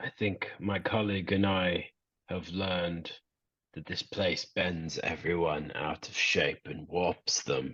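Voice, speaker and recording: A man booms in a put-on character voice with a very deep, low pitch. His pace is fairly slow and his intonation fairly even. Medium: actual play. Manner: booming, fervent.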